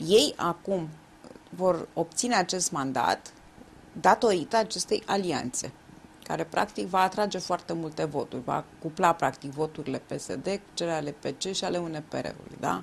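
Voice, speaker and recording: A woman's fairly low voice with vocal fry, at a fairly slow pace, over light background noise. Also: lively intonation. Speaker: interviewer. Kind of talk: interview. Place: studio.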